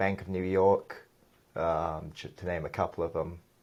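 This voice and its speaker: A man's very deep, low voice at a moderate pace against a quiet background. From England, moved to US in childhood. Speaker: real estate developer. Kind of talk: interview podcast.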